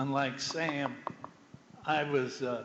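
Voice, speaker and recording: A man with an American accent speaks at a fairly high pitch with fairly even intonation, amid noticeable background noise and audible room echo. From Wayne County, Ohio, US (rural farm). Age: old. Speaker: former football player. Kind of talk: panel talk to students. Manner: halting.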